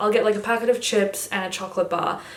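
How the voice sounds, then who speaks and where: Her voice medium in pitch, a woman talks in an animated tone at a very fast pace with noticeable background noise and audible room echo. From Germany (Düsseldorf), moved to Australia at ten. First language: German. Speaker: YouTuber. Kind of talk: casual chat.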